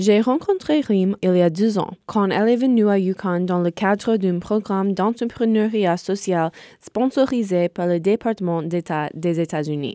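In an American accent, a woman with a medium pitch and a dark, mellow tone speaks at a fairly slow pace with hardly any pauses and ordinary pitch variation, in a dry, close sound with no echo. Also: very clean recording, silent background. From US, rural Connecticut. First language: English (speaking French). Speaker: student podcast host. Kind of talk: scripted narration.

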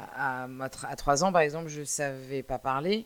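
A woman speaks at a very slow pace. Her pitch is very deep and low, in a very clean recording with a silent background. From France, Brittany. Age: 40s. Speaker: podcast host. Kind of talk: solo monologue. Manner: halting.

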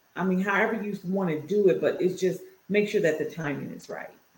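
A woman talks at a moderate pace in a medium pitch. Her intonation is fairly even. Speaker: podcast co-host. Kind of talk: casual chat.

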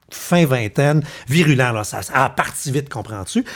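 Speaking with a Quebec accent at a fairly slow pace, a man sounds animated, his intonation lively. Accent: Québécois French. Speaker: podcast host. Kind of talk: casual chat.

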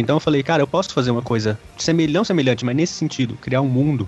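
With ordinary pitch variation, a man's fairly high voice is heard over background music. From Triângulo Mineiro, Minas Gerais (Uberaba). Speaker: novelist. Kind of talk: casual chat.

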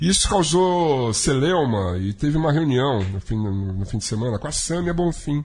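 A man speaks with very wide pitch swings over music in the background. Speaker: radio show host and musician. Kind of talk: casual talk show chat. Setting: studio.

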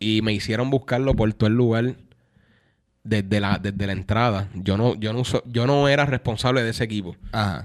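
In a Puerto Rican accent, a man with a fairly low voice speaks at a moderate pace with fairly even intonation on a very clean recording with a silent background. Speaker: music producer and singer. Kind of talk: casual chat.

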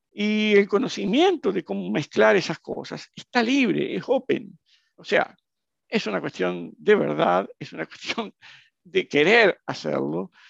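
A man speaks at a fairly slow pace, his loudness swinging widely. The sound is dry and close with no echo, over a quiet background. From Brazil. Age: 60s. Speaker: entrepreneur. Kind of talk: interview.

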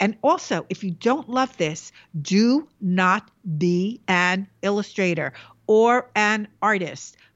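A woman speaks with a New York accent. Her pitch is medium, with ordinary variation. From New York, the Bronx. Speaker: illustrator. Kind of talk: interview.

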